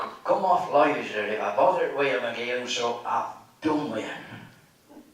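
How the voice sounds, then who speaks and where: A fairly slow Lancashire accent over noticeable background noise. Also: man. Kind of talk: reading of humorous dialect tales. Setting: live talk at a local society event.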